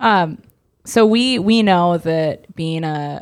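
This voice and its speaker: With ordinary pitch variation, an ordinary speaking voice is heard. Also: woman. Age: 30s. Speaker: church podcast co-host. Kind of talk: casual chat.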